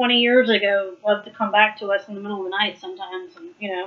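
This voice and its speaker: A woman talks very fast at a medium pitch with ordinary pitch variation. Noticeable background noise sits behind her. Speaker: Bible study leader. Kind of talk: Bible study teaching. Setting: live video stream.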